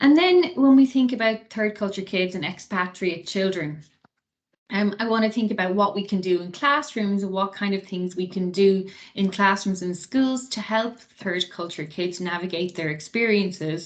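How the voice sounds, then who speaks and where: A woman with an Irish accent at a moderate pace. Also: medium pitch for a woman, ordinary pitch variation. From Ireland. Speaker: associate professor. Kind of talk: lecture.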